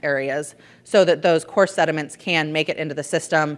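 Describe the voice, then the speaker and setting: This woman has a fairly low pitch with ordinary pitch variation. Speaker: environmental consultant. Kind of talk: conference presentation. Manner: fast.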